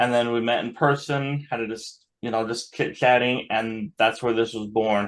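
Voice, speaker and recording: A man with an American accent speaks at a moderate pace in a medium pitch. He uses hardly any pauses, and his intonation is fairly even. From Utah. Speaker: online summit host. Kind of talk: video call welcome and chat.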